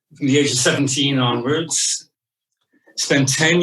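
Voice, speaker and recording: A man's voice sits at a medium pitch, his intonation staying fairly even. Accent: Irish. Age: 60s. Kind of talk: interview.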